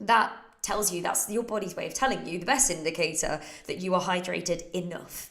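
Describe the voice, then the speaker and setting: In a British accent, a woman talks at a fairly quick pace with ordinary pitch variation, amid noticeable background noise and audible room echo. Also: medium pitch for a woman. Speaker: fitness coach. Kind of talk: Q&A livestream. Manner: casual.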